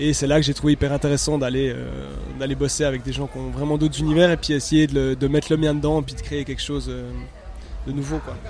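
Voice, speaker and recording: A man talks at a fairly quick pace. There is noticeable background noise behind him. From Switzerland, Neuchâtel. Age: 30s. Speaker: electronic music producer. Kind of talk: casual interview. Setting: music festival. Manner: halting.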